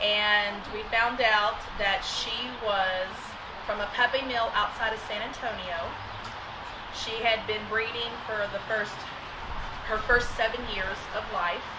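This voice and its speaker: Very slow speech broken by long, frequent pauses, over loud background noise. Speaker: dog owner who adopted a rescue. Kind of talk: casual interview chat. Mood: calm, earnest storytelling. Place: home room.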